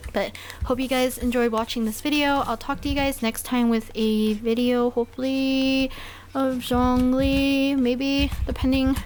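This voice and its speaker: A woman's flat, monotone voice at a fairly slow pace, very even in loudness, over noticeable background noise. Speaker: artist and tablet reviewer. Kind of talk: casual voiceover commentary. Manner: casual with many fillers.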